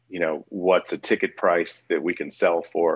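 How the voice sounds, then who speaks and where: Captured with a dry, close sound and no echo, a man talks at a moderate pace. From US Midwest, St. Louis. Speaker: music venue founder. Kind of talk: interview.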